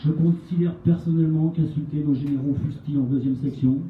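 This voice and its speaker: A man talks at a fairly quick pace, somewhat breathy. His intonation is monotone and flat. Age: 60s. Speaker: retired army officer, association representative. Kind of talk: prepared speech at a public meeting. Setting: meeting with audience.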